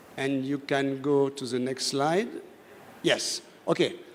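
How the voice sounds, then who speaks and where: A fairly high-pitched male voice with a French accent at a very slow pace. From France. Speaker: voice technology speaker on a panel. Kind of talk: conference presentation.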